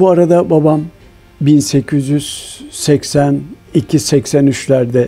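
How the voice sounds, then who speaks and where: Over music in the background, a man with a fairly high pitch speaks very slowly with fairly even intonation. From Istanbul, Turkey. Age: 80s+. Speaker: confectionery shop owner. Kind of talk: documentary interview.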